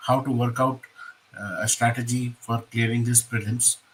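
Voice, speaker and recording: A man with an Indian accent at medium pitch, in a flat monotone at a moderate pace. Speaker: exam coaching mentor. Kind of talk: lecture. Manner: hesitant, with fillers.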